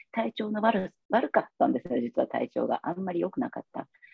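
In a very fast delivery, a woman with a medium pitch and vocal fry swings her pitch very widely. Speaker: massage therapist. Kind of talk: interview testimony. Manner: hesitant, many fillers.

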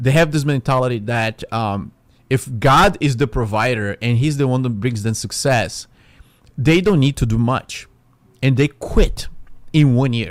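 A man with a non-native accent talks at a fairly slow pace, with a medium pitch and ordinary pitch variation. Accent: foreign accent in English. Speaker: podcast host. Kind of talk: religious podcast monologue, casual preaching. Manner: casual, conversational, animated.

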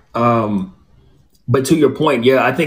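In a plain, everyday voice, a man speaks at a fairly quick pace with an American accent and ordinary pitch variation. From Southern California (Inland Empire). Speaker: former athlete, author and podcast host. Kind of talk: interview on a podcast.

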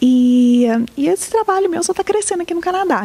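A woman speaks with very wide pitch swings. Noticeable background noise sits behind her. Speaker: community organization staff. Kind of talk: interview.

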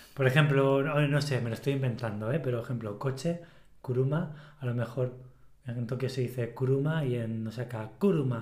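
In a Spanish Mediterranean accent, a man speaks at a moderate pace with a medium, somewhat breathy voice. His intonation is fairly even, and the room echo is audible. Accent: Spanish Mediterranean coast. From Spain. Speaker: podcast co-host. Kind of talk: casual chat.

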